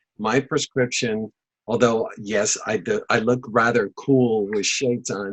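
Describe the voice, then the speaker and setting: Someone speaks at a fairly slow pace with a Spanish accent. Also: man. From Panama. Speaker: film festival director and teacher. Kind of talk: interview. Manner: halting with many fillers.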